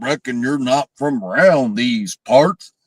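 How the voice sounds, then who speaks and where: A man puts on a character voice in a Southern US accent. He speaks at a medium pitch and a fairly slow pace. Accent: Southern American. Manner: exaggerated, fake-sounding.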